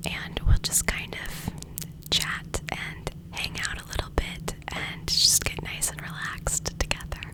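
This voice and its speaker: Whispering very slowly with hardly any pauses, a woman's voice shows big swings in loudness. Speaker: ASMR-style creator. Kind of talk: ASMR get ready with me chat. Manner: whispered. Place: home room. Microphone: studio mic.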